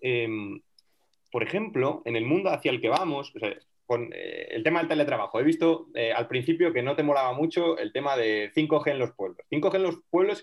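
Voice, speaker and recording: With lively intonation, a man talks at a moderate pace in a normal speaking voice that sits fairly high in pitch. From Teruel, Aragon, Spain. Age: young. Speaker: rural development volunteer. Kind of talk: casual chat.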